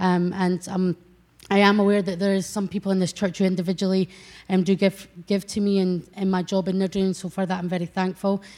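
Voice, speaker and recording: A woman speaks fairly quickly in a Scottish accent, her medium-pitched voice dark and mellow. Her intonation stays monotone and flat. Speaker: church youth worker. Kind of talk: testimony. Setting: church. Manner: halting.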